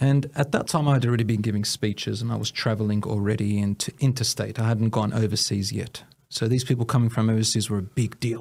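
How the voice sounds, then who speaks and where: On a very clean recording with a silent background, a man with an Australian accent speaks very fast in a medium pitch, with fairly even intonation and hardly any pauses. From Australia, Melbourne area (Williamstown). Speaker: Islamic teacher and community leader. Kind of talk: personal life story interview.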